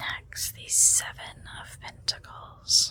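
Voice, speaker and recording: Whispering in a gentle tone at a very slow pace, a woman speaks over noticeable background noise. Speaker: ASMR and tarot content creator. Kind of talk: ASMR tarot card reading, casual talk to camera. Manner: soft, gentle, lo-fi whisper-style ASMR.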